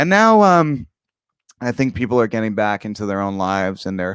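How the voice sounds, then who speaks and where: A man speaks at a fairly low pitch. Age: 30s. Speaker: online show host. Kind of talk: casual livestream monologue. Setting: live stream. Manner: halting, many fillers.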